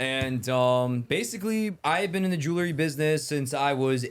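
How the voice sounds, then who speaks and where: A man's medium-pitched, animated voice with lively intonation, in a New York accent. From New York, Bronx. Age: 20s. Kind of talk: casual chat.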